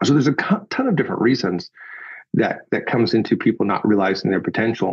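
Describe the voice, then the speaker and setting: With an unremarkable speaking voice, a man talks at a fairly quick pace and medium pitch with lively intonation. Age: 40s. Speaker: executive communication coach and author. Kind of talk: podcast interview. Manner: conversational, with self-corrections.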